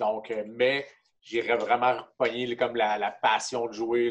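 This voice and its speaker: A man speaks at a medium pitch. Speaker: hockey player and kinesiologist. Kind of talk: casual interview.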